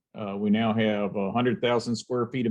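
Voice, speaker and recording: An ordinary speaking voice carries the words along at a moderate pace. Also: man. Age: 60s. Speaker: robotics company owner. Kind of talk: interview.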